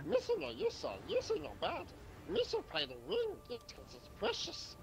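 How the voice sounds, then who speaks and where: A man uses a put-on character voice pitched extremely high. He speaks at a moderate pace over clear background noise. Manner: silly, comic.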